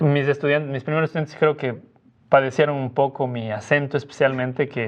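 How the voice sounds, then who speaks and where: Speaking with a Cuenca Ecuadorian accent, this man has a fairly high pitch. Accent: Cuenca Ecuadorian, sing-song. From Ecuador, Cuenca. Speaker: missionary Bible teacher, former student. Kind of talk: podcast interview.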